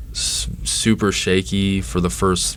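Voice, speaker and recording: The man has an American accent and very deep, low pitch. His pitch varies in an ordinary way, and audible room echo surrounds him. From Texas, Dallas. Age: 30s. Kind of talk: interview. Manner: halting, many fillers and restarts.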